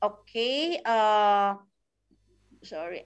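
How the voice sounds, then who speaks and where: Everything behind the voice stays quiet. Its intonation rises and falls in a lively way. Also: woman. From Philippines. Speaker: network marketing coach. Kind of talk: tutorial. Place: home room. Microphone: video call.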